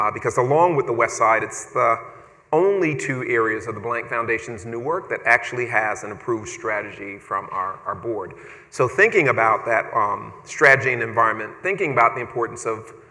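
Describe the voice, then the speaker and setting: A man's fairly quick talking is heard with noticeable background noise. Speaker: foundation director. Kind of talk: panel interview. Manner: fast.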